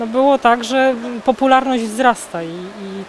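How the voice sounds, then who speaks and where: A woman with a fairly high pitch and ordinary pitch variation talks at a fairly slow pace over noticeable background noise. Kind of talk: interview answer.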